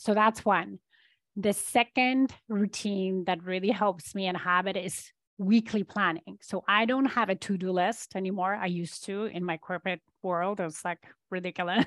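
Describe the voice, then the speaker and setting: With a Polish accent, a woman speaks at a medium pitch and moderate pace, her intonation fairly even, in a dry, close sound with no echo against a quiet background. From Poland. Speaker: business and leadership coach. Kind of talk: interview.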